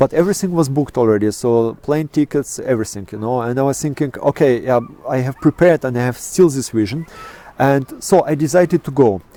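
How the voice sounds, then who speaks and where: Talking at a very fast pace, a man with a Russian accent comes through a dry, close sound with no echo, over noticeable background noise. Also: medium pitch for a man, ordinary pitch variation. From Kazakhstan. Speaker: astrophotographer. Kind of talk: interview. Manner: halting, many fillers.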